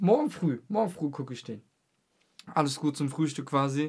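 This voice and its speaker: Ordinary pitch variation marks a man's speech on a very clean recording with a silent background. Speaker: podcast host. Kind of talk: casual chat.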